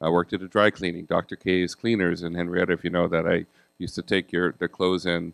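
The intonation stays fairly even. The sound is dry and close, with no echo. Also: man, quiet background. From Bahamas (born in Jamaica). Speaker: town council member and university diversity officer. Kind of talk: panel discussion.

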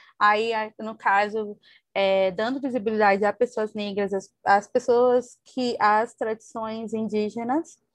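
A woman speaks very slowly at a fairly high pitch with monotone, flat intonation, in a dry, close sound with no echo against a quiet background. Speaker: podcast co-host. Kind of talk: casual book discussion. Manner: hesitant, many fillers.

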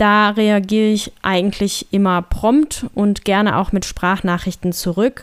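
A woman with an ordinary speaking voice talks at a fairly slow pace and a medium pitch, with fairly even intonation, very even loudness, and hardly any pauses. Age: 30s. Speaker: podcaster and blogger. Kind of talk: solo podcast monologue.

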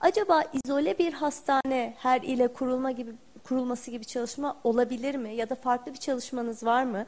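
Talking at a fairly quick pace with hardly any pauses, a woman uses a high pitch and ordinary pitch variation. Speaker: journalist asking questions. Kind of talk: press Q&A.

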